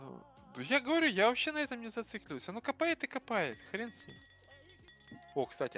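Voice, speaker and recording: A man with a high-pitched voice projects loudly over music in the background. His pitch swings very widely, his loudness rises and falls sharply, and he takes long, frequent pauses. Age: young. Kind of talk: casual.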